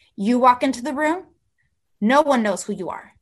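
The speaker has a General American accent and ordinary pitch variation. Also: woman. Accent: general American, near-native. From Mexico and southern California. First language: Spanish. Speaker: celebrity publicist. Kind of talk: casual interview chat.

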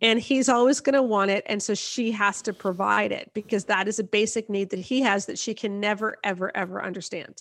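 Speaking with a Canadian accent at a fairly quick pace, a woman uses a medium pitch and fairly even intonation with hardly any pauses, on a very clean recording with a silent background. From Canada. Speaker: author and marriage blogger. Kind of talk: interview. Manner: direct and blunt.

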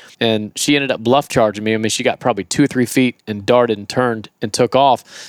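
In a Southern US accent, a man at a medium pitch talks very fast with fairly even intonation, a dry, close sound with no echo, and a very clean recording with a silent background. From Florida. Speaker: wildlife trapper and YouTuber. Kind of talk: casual chat. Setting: living room of a camp house.

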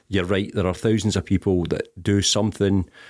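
A man with a Glaswegian accent speaks in a very deep, low pitch with monotone, flat intonation on a very clean recording with a silent background. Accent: Glaswegian Scottish. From Scotland, East End of Glasgow. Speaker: charity chief executive. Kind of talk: interview. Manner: hesitant, many ums.

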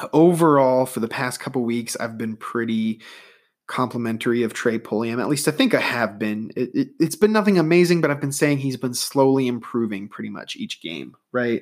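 Lively intonation from a man at medium pitch, moving at a moderate pace. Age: 20s. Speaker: sports podcast host. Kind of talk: solo sports commentary podcast. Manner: casual, hesitant with fillers.

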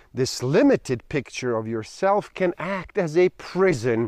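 A man speaks at a fairly slow pace in a calm, soothing tone. His voice is fairly high-pitched, with very wide pitch swings. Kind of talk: guided meditation, reading aloud instructions from a book. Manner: slow, calm, soothing, measured with deliberate pauses.

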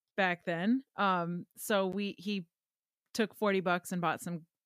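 In a Wisconsin accent, a woman speaks at a fairly slow pace with fairly even intonation, the sound dry and close with no echo on a very clean recording with a silent background. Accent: Upper Midwest (Wisconsin). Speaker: guitar pedal company co-owner. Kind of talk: casual chat.

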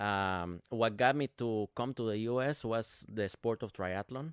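A man with a Spanish accent and fairly low pitch, fairly slow and fairly even in intonation, in a dry, close sound with no echo and a very clean recording with a silent background. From Guatemala. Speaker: triathlete and fitness business owner. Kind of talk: casual chat.

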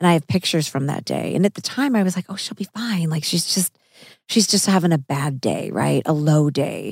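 Somewhat breathy speech in an American accent moves at a fairly quick pace with ordinary pitch variation, recorded dry and close with no echo. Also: woman, fairly low pitch for a woman. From Missouri. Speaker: podcast host and actress. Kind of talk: casual chat over a meal.

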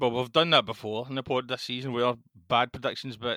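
A man with a Scottish accent and a bright, sharp tone, in a very clean recording with a silent background. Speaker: football podcast co-host. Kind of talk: casual chat.

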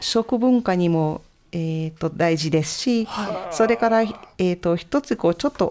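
A moderate pace and lively intonation in a Hungarian accent. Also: woman. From Hungary. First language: Hungarian (speaking Japanese). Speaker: cultural center director. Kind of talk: radio interview. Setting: studio.

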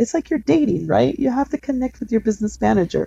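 A woman with an American accent, in a dry, close sound with no echo. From East Los Angeles, US. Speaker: bank relationship manager. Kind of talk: interview.

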